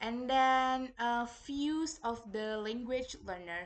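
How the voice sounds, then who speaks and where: A woman talks at a very slow pace in a fairly high voice. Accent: Indonesian. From Indonesia. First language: Indonesian. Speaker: university student. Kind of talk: reading report presentation. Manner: halting, many fillers.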